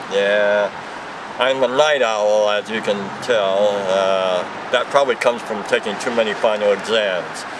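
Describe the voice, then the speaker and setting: Against noticeable background noise, a man talks at a fairly slow pace with fairly low pitch and fairly even intonation. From US West Coast, Los Angeles. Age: 60s. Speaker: store clerk, former lawyer. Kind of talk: casual interview.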